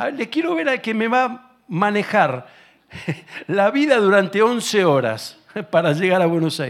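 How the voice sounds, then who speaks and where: A man with an Argentine accent, a high pitch, very wide pitch swings and a fairly slow pace. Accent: Argentine Spanish (Rioplatense). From Argentina. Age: 60s. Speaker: guest preacher and political ministry leader. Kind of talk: sermon. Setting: church service with congregation.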